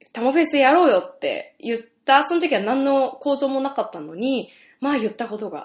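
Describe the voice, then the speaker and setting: Her voice sits at a fairly high pitch for a woman and shows vocal fry. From Saitama, Japan. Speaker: radio DJ and singer. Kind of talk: casual radio chat. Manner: lots of laughter.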